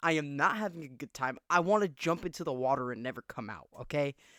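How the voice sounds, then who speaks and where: The voice is bright and sharp, animated, with lively intonation at a fairly quick pace. The recording is very clean, dry and close, with a silent background and no echo. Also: man. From small conservative town. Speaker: podcast host. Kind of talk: casual chat. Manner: loud.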